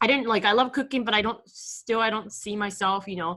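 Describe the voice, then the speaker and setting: A woman with a slight non-native accent and ordinary pitch variation. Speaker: online entrepreneur, vlogger. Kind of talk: casual livestream talk. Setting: live stream on camera. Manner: hesitant, many fillers.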